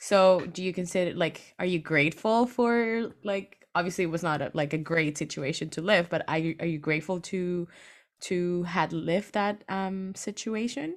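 A Spanish accent comes through. Very clean audio captures the voice against a silent background. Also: woman, fairly low pitch for a woman, ordinary pitch variation, moderate pace. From Venezuela. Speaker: podcast host. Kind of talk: casual interview; podcast intro and outro.

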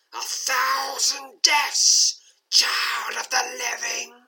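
This female-sounding voice is a put-on character voice, high-pitched, raspy and hissing. It moves at a very slow pace. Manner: hissing, menacing.

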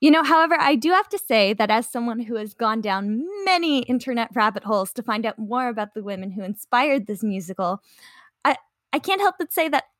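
A woman with a Canadian accent speaks at a moderate pace, with a normal speaking voice, fairly high pitch and lively intonation. The recording is very clean with a silent background and a dry, close sound with no echo. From Canada. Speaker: podcast co-host. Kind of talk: casual chat; scripted narration.

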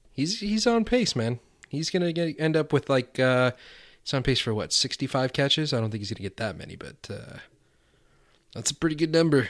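A man with a normal speaking voice talks at a fairly quick pace with a fairly high pitch and lively intonation. The recording is very clean, and the background is silent. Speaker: fantasy football podcast host. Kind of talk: casual chat.

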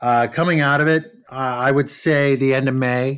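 A man with an American accent, medium pitch, ordinary pitch variation and a moderate pace. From Southern California, Orange County. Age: 50s. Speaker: travel agent. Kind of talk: interview.

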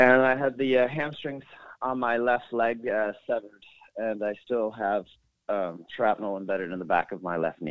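A man's normal speaking voice, medium pitch with ordinary pitch variation, with a Canadian accent, at a moderate pace. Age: 40s. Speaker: retired soldier, war veteran. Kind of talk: interview. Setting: phone call.

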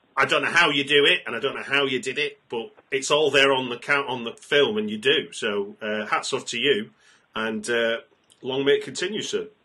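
A man speaks at a moderate pace with a British accent. His pitch is medium and his intonation lively. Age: 40s. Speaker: film podcast host. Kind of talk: interview. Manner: halting.

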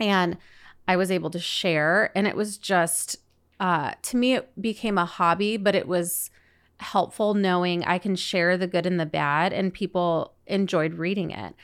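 A woman in a Southwest US accent at a moderate pace, on a very clean recording with a silent background. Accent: General American (Southwest US). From Arizona, Phoenix area. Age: 30s. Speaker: podcast host, foster and adoptive mother. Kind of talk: casual monologue. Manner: conversational with frequent fillers.

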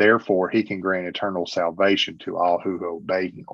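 A man's fairly low voice, monotone and flat, at a moderate pace. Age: 50s. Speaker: Bible reviewer and podcast guest. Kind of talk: casual chat.

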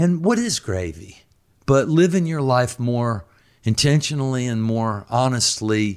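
An ordinary speaking voice: a medium-pitched man with an American accent, lively intonation and a fairly slow pace, in a very clean recording with a silent background. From US South. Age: 60s. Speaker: real estate agent and former rock guitarist. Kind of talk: interview. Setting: at home.

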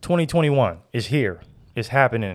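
The man's delivery is fairly quick. Behind him the recording stays very clean and silent. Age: 30s. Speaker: podcast host. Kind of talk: casual chat.

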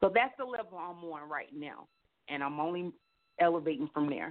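A woman speaks with a low pitch and lively intonation. Her pace is moderate.

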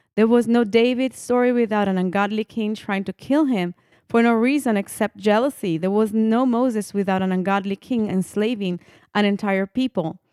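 The voice has a dark, mellow tone and an Italian accent, recorded dry and close with no echo, very clean, with a silent background. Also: woman. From Italy. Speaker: podcast host. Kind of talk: casual interview.

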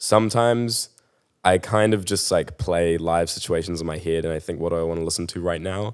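Delivered at a fairly quick pace with ordinary pitch variation, the speech comes through a very clean recording with a silent background. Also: man. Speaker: music artist. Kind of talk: casual chat. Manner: casual, laid-back.

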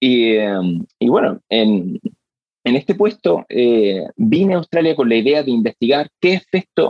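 Very wide swings in pitch from a man with a mid-range voice. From Spain, Granada. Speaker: hearing scientist. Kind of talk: interview. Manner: hesitant, with fillers and repeated words.

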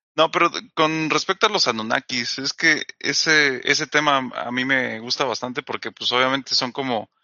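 An ordinary speaking voice at a moderate pace, with ordinary pitch variation and hardly any pauses. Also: man, medium pitch for a man. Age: 20s. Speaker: podcast co-host. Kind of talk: casual chat.

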